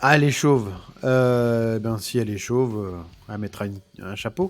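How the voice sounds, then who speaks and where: The man speaks at a moderate pace in a medium-pitched voice with ordinary pitch variation. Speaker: tattoo artist. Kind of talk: livestream Q&A. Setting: livestream with headset. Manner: stumbling; casual.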